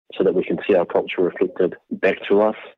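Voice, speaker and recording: A man with a New Zealand accent. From New Zealand, Māori. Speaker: Māori artist and designer. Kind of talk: interview.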